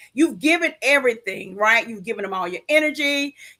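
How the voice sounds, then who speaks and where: A woman talks at a fairly quick pace in a raised, projected voice with an animated tone. Her tone is bright and sharp, and her pitch swings very widely. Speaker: live show co-host and coach. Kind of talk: live show talk, personal testimony. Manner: loud.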